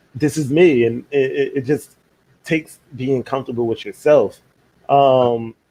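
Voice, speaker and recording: In an American accent, a man speaks at a fairly slow pace with a fairly high pitch. His tone is dark and mellow, with fairly even intonation. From Philadelphia. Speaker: podcast host. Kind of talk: casual chat.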